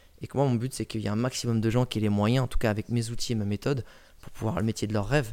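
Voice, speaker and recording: The speech runs at a very fast pace on a very clean recording with a silent background. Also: man. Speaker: personal branding coach and travel blogger. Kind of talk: casual interview. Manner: animated, talks constantly; loud.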